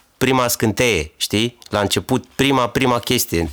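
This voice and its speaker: Noticeable noise sits in the background. The man's pitch moves in an ordinary range. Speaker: podcast host and DJ. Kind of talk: interview. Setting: studio.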